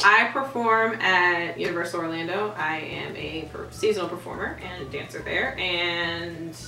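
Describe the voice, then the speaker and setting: A woman's fairly low, fairly slow voice with ordinary pitch variation and hardly any pauses, plus light background noise and audible room echo. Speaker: theme park performer and dancer. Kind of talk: casual talk to camera. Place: home room. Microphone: camera far.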